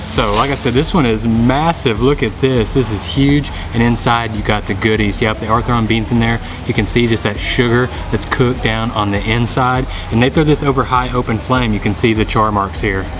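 With clear music in the background, a man talks at a fairly quick pace and with fairly even intonation. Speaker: food vlogger. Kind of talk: casual vlog chat. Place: market. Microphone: phone near.

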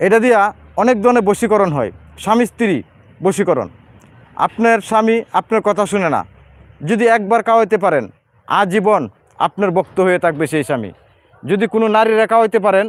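Pitched high, a man speaks with ordinary pitch variation and very even loudness. The sound is dry and close, with no echo. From Bangladesh. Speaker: herbal remedy seller. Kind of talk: live sales pitch. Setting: outdoors in a hilly area.

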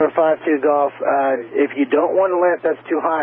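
A man speaks at a medium pitch. His voice has a slightly husky edge.

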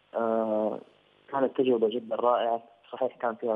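In a monotone, flat intonation, a man speaks at medium pitch. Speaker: singer, talent show contestant. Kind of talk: casual interview.

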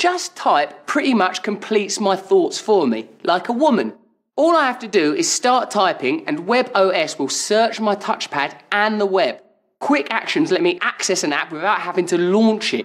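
A man speaks at a moderate pace with a quiet background behind him. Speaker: comedian. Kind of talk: TV commercial read. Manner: comedic, playful. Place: home room.

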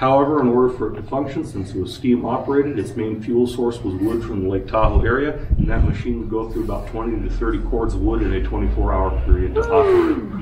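Speech comes at a very fast pace over noticeable background noise. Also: man. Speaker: mine tour guide. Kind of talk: guided tour talk. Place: workshop. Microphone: camera far.

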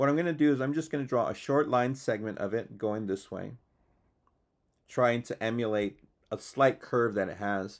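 At a moderate pace and with ordinary pitch variation, a man talks against a quiet background. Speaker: art teacher. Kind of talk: tutorial. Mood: calm, friendly. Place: home room. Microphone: lapel.

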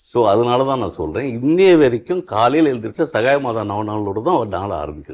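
Against a quiet background, a man speaks. His pitch swings very widely. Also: medium pitch for a man. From Chennai, India. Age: 60s. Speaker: retired high court judge. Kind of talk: interview testimony.

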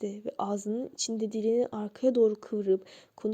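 The voice is plain. It is reading aloud.

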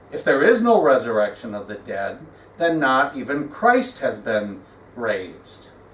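Audible room echo surrounds a man who speaks at a fairly slow pace with very wide pitch swings. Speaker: pastor. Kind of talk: scripture reading in a sermon. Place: church. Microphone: podium.

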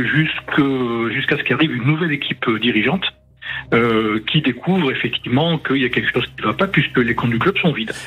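Noticeable background noise runs under this recording. A man talks at a very fast pace in a fairly high pitch. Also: ordinary pitch variation. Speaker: journalist. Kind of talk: storytelling. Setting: phone call. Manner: halting.

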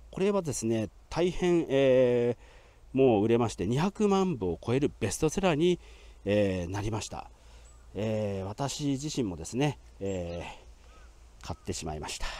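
At a moderate pace and medium pitch, a man speaks with very wide pitch swings and long, frequent pauses, the sound dry with no echo. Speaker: grave tour guide. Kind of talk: on-site historical presentation. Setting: outdoors at a cemetery grave. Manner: formal, polite with frequent fillers. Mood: calm, informative. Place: open country.

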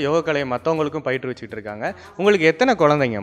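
Faint music plays in the background as a man speaks with lively intonation and a fairly high pitch. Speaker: interviewer. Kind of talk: video host intro. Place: home room.

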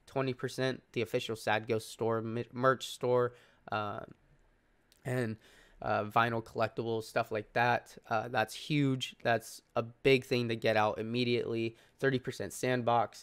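A very slow, monotone man's voice at medium pitch with flat intonation, in a very clean recording with a silent background. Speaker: crypto YouTuber. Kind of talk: sponsored project review. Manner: casual with many fillers.

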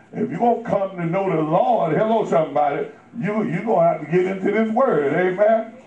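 With audible room echo, a man speaks at a moderate pace using lively intonation. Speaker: preacher. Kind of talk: sermon. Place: church. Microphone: camera far.

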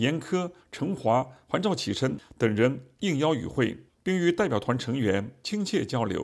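A man with vocal fry and lively intonation speaks at a fairly slow pace in a very clean recording with a silent background. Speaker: news reporter. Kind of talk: news reading.

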